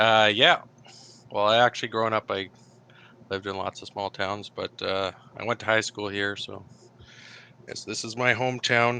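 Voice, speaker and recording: A man with a Canadian accent speaks at a moderate pace in a fairly low, bright, sharp voice with monotone, flat intonation. His loudness swings widely and he leaves long, frequent pauses, in a dry, close sound with no echo. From Canada, northern British Columbia. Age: 30s. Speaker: engineer, typing session client. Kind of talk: interview. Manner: hesitant, many fillers.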